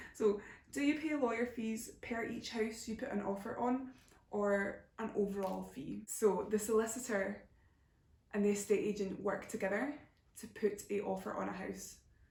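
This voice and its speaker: Audible room echo surrounds a woman's fairly high voice. Vocal fry runs through it. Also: ordinary pitch variation, moderate pace. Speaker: YouTuber. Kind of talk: Q&A answering viewer questions. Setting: home video recording, camera flash in eyes. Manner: casual, hesitant with fillers.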